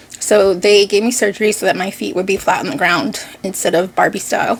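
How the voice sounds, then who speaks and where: A woman with an American accent talks at a fairly quick pace with fairly even intonation over noticeable background noise. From Boston (Dorchester), Massachusetts, US. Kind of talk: casual vlog talk.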